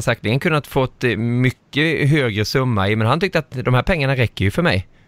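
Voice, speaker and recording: With a plain, everyday voice at a medium pitch, a man speaks at a fairly quick pace with lively intonation, very even loudness and hardly any pauses. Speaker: podcast host. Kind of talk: casual chat.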